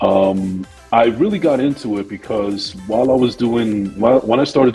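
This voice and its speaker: A man with a New Jersey accent, fairly low pitch, ordinary pitch variation and a moderate pace, with music in the background. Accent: New Jersey American English. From New Jersey, USA. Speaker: podcaster and actor. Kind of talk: interview answer.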